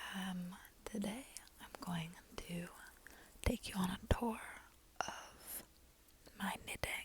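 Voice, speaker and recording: Someone whispers at a very slow pace. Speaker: beginner knitter, ASMR creator. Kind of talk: ASMR soft-spoken whispered talk to camera. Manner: soft-spoken, whispered.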